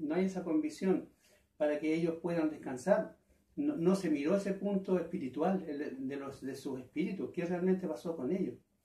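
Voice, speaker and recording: A man's high-pitched voice with a dark, mellow tone, ordinary pitch variation and audible room echo. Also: moderate pace. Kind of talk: interview answer. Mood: earnest, troubled. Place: home room. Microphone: camera far.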